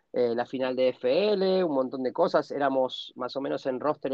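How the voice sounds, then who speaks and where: A man speaks in a normal speaking voice with a fairly high pitch. His pitch variation is ordinary. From Argentina. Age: 40s. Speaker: American football player and sports director. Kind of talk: interview.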